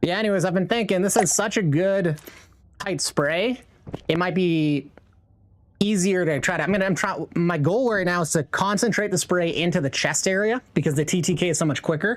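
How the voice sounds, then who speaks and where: A man talks in a high voice. His loudness stays very even. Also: ordinary pitch variation, moderate pace. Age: 30s. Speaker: video game streamer. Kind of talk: live gameplay stream chat. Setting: live stream. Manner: casual, profane.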